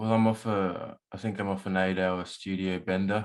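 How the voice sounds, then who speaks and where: On a very clean recording with a silent background, a man speaks with an Australian accent. His fairly low voice moves at a moderate pace with monotone, flat intonation. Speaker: musician and producer. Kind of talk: casual interview chat.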